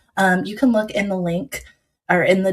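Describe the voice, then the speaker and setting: A woman talks in a General American accent with fairly even intonation. Her voice is somewhat breathy. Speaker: doula and livestream host. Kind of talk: livestream talk show.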